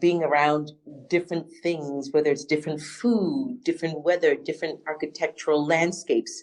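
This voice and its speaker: A woman speaks in an American accent. Her pitch is very deep and low, and her intonation is fairly even. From Ghana, then London and New York. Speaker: criminal justice reform advocate and educator. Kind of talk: podcast interview.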